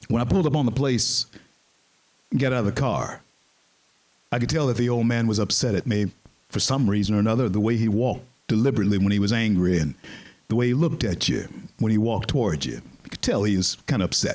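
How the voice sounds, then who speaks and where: Animated and very fast, a man with an American accent speaks at a medium pitch with ordinary pitch variation and long, frequent pauses. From US South, Shreveport, Louisiana. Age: 60s. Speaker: panel moderator and speaker. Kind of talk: storytelling speech to an audience. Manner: animated, repeats words.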